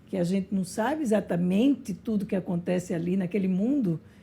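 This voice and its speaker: Somewhat breathy and dark, mellow in tone, a woman talks at a moderate pace with lively intonation. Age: 60s. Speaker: podcast host. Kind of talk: interview conversation.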